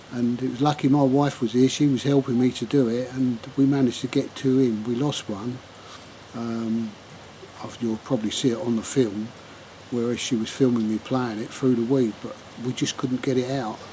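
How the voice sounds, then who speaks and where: A man speaks at a moderate pace in a medium pitch, relaxed and monotone with flat intonation. Noticeable background noise sits behind him. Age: 70s. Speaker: angling vlogger. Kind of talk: casual fishing vlog summary to camera. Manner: relaxed, conversational with fillers.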